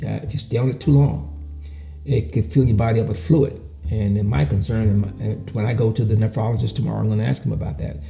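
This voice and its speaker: A man with a fairly low pitch speaks at a very fast pace, his pitch swinging very widely. Music plays in the background. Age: 70s. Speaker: patient sharing health experience. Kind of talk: testimony. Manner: halting.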